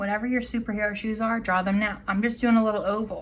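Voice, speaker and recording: Somewhat breathy and fairly high in pitch, a woman talks with monotone, flat intonation. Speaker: art teacher. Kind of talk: tutorial.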